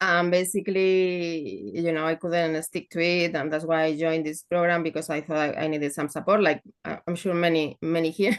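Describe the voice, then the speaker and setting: A woman talks in a Spanish accent with hardly any pauses. Her pitch is fairly low and her intonation fairly even. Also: moderate pace. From northern Spain. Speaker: program participant. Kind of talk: coaching call question. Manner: halting, hesitant.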